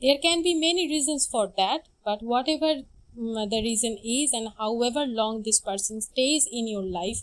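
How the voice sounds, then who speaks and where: With lively intonation, a woman speaks in a non-native accent. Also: fairly high pitch for a woman, moderate pace. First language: not English. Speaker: tarot reader. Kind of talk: tarot reading.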